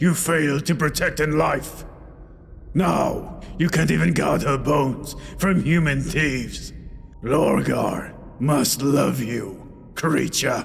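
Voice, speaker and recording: Putting on a growling character voice, a man speaks fairly slowly at a fairly high pitch over clear background noise. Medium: read story. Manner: growled, mocking.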